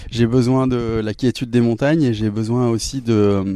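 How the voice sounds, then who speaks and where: Ordinary pitch variation marks this voice, which has a dark, mellow tone. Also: man. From southeastern France (Drôme, Romans-sur-Isère). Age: 40s. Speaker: musician. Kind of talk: interview. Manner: hesitant, many fillers.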